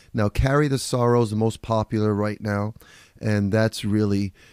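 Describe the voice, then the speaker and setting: In a New York accent, a man with a medium pitch and a dark, mellow tone talks at a moderate pace with fairly even intonation, in a dry, close sound with no echo on a very clean recording with a silent background. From New York (Bronx). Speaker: radio show host and author. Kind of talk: casual monologue.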